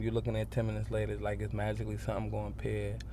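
A man talks at a very fast pace, and audible room echo colors the recording. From New York, the Bronx. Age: 20s. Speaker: subway musician. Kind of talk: interview.

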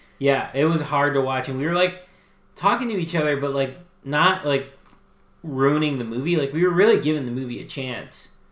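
With audible room echo, a man speaks at a fairly quick pace in a fairly high pitch. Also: ordinary pitch variation. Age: 30s. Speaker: podcast co-host. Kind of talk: casual chat.

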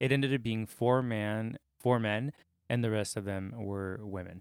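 Man at a fairly low pitch and moderate pace, ordinary pitch variation, dry, close sound with no echo. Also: very clean recording, silent background. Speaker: podcast co-host. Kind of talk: casual chat. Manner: animated.

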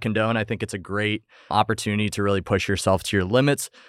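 A man with an unremarkable speaking voice talks at a fairly quick pace, with a dry, close sound with no echo on a very clean recording with a silent background. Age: 20s. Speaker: physician assistant student and fitness coach. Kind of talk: casual podcast interview.

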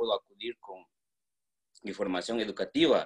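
Dry, close sound with no echo, carrying a man's voice at a moderate pace. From Guatemala, Quetzaltenango. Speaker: painter. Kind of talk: personal testimony. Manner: halting, many fillers.

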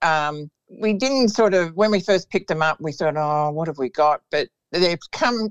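Lively intonation marks this woman's speech in an Australian accent. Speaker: greyhound trainer. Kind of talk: interview.

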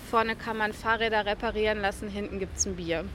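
This woman has a bright, sharp tone, a fairly high pitch and fairly even intonation. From western Germany, Ruhr area (Velbert). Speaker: journalist and travel guide author. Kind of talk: interview. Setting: outdoors at a kiosk square.

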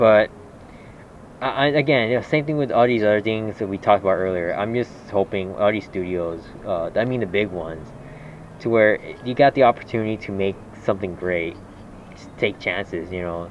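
Over noticeable background noise, a man speaks at a fairly quick pace and fairly low pitch, with long, frequent pauses. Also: ordinary pitch variation. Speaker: podcast host. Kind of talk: casual chat.

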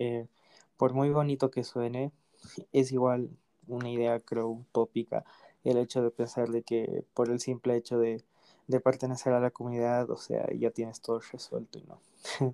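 The dry, close sound carries a man's dark, mellow tone, flat and monotone, at a fairly slow pace. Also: medium pitch for a man. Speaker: podcast host. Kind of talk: casual chat.

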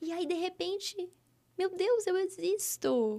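The pace is very slow. The pitch swings very widely. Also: woman. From interior of São Paulo state (Araçatuba). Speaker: women's mentor and therapist. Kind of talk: podcast interview.

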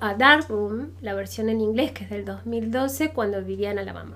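Audible room echo surrounds a woman with an Argentine accent as she speaks fairly slowly. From Argentina. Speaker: university professor. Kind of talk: casual interview.

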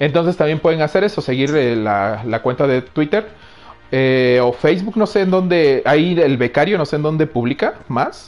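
Animated in tone, a man with a Mexican accent speaks with lively intonation. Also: fairly high pitch for a man, moderate pace, very even loudness. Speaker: podcast host. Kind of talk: casual chat; show intro. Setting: live stream.

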